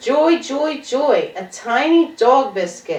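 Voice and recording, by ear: In a room with audible echo, a woman uses a put-on character voice, high-pitched and slightly mellow, speaking slowly with big pitch swings.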